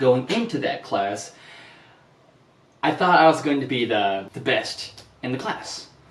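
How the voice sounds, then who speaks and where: Audible room echo and noticeable background noise surround a man at medium pitch. He talks at a fairly slow pace, his pitch swinging very widely. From Japan. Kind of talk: vlog monologue.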